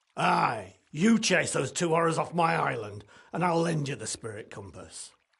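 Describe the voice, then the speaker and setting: A man's raspy, put-on character voice. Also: fairly high pitch for a man, moderate pace. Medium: video game. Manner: gruff, blunt.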